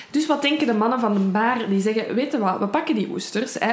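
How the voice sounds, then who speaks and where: Lively intonation at a fairly quick pace, with noticeable background noise and audible room echo. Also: woman. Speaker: true crime podcast co-host. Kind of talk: casual true crime storytelling.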